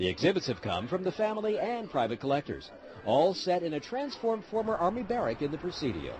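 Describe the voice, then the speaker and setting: Amid noticeable background noise, a man speaks at a very fast pace with a high pitch and very wide pitch swings. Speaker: TV news reporter. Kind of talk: TV news report voiceover.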